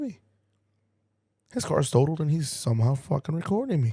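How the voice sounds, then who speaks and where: This man has a fairly high pitch and a dark, mellow tone. He sounds somewhat breathy, with lively intonation. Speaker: tow truck driver and podcast host. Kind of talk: casual storytelling podcast. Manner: animated.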